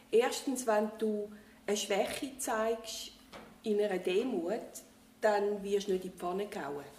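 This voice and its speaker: Pausing long and often, a woman of medium pitch with a Zurich accent speaks at a very slow pace with ordinary pitch variation. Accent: Swiss German, Zurich area. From Switzerland, Winterthur. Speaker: retiree, former aid worker. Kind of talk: casual interview.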